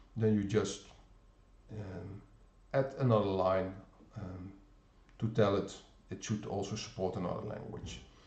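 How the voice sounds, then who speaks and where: A man with a Dutch accent speaks at a fairly slow pace and fairly low pitch, somewhat breathy, with fairly even intonation. There are long, frequent pauses, big swings in loudness and audible room echo. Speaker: software developer presenter. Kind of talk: pre-recorded technical demo. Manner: halting, many fillers.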